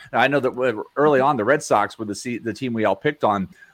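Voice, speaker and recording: A man's ordinary speaking voice at medium pitch, fairly quick in pace, with ordinary pitch variation. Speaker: fantasy baseball podcast co-host. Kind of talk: casual chat.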